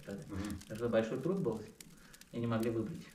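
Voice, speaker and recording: A man with a medium pitch speaks at a fairly quick pace with lively intonation. Audible room echo and light background noise surround him. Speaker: real estate agent. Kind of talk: casual interview. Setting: indoors at a home. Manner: halting. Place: home room. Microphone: camera far.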